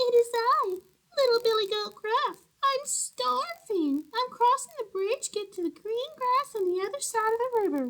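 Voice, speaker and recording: Moderately paced, extremely high put-on character voice from a woman. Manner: plaintive, hungry.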